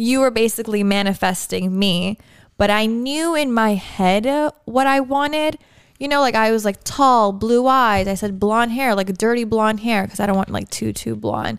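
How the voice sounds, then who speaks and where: In a very clean recording with a silent background, a woman with a plain, everyday voice speaks at a fairly slow pace, fairly high in pitch with ordinary pitch variation. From Canada (Toronto). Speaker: podcast host. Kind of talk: casual chat.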